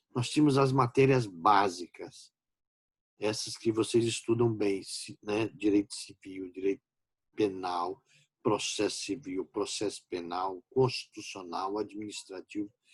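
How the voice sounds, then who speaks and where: A man's fairly low, somewhat breathy voice at a fairly slow pace, with ordinary pitch variation and a dry, close sound with no echo. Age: 60s. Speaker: law professor. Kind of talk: lecture. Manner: informal, conversational.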